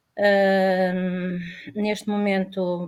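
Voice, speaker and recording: Her pitch moves in an ordinary way. The woman talks very slowly. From Portugal. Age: 60s. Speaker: retired woman, panel guest. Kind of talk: panel discussion. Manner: halting, many fillers.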